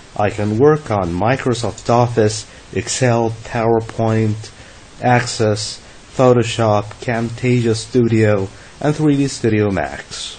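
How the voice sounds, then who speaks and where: With noticeable background noise and audible room echo, a man of medium pitch talks at a very slow pace using fairly even intonation. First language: Arabic. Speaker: English teacher. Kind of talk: lecture. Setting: online lesson.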